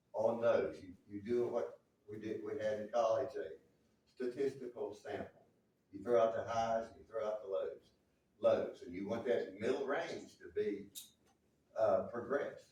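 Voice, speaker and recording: With an American accent, a man speaks at a fairly slow pace, pausing long and often, as room echo is audible. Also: big swings in loudness. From US South. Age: 70s. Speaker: local government official. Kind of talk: town hall debate. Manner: halting.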